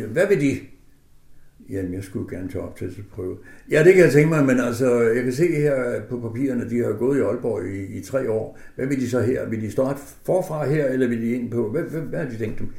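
A man with a medium pitch and a dark, mellow, somewhat breathy tone speaks at a moderate pace with lively intonation, with audible room echo. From northern Jutland, Denmark. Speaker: concert pianist. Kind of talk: radio interview. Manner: hesitant with fillers.

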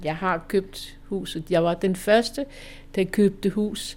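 A woman's dark, mellow tone comes at a very slow pace. The recording is very clean, with a silent background. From western Jutland, Denmark (Holstebro area). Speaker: future resident. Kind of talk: interview.

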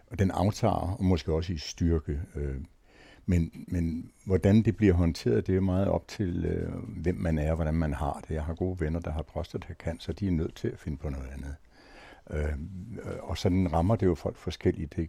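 A man's very deep, low voice with a dark, mellow tone, vocal fry and ordinary pitch variation. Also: moderate pace. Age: old. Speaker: retired senior, panel guest. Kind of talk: round-table discussion.

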